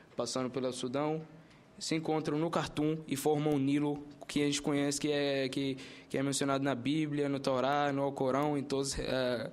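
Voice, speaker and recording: Audible room echo surrounds a man with an Arabic accent and a fairly high pitch. He talks at a moderate pace in a monotone, flat intonation with very even loudness. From Sudan. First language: Arabic (speaking Portuguese). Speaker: university student. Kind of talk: formal presentation at a hearing. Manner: halting.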